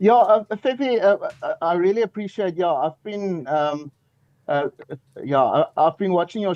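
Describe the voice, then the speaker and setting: A man speaks with a South African accent at a moderate pace and ordinary pitch variation. The sound is dry and close, with no echo. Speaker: caller. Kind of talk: call-in question. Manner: halting, hesitant.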